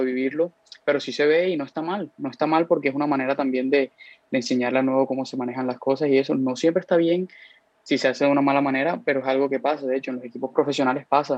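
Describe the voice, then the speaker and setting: Here a man talks at a very fast pace. His pitch is fairly high and his intonation fairly even. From Colombia, Cartagena. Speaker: college soccer player. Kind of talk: casual interview.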